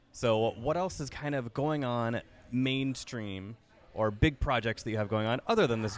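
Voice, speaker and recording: A man with a plain, everyday voice speaks at a moderate pace and medium pitch, with ordinary pitch variation. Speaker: podcast host. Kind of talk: casual chat. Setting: on location, in person. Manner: laughs often.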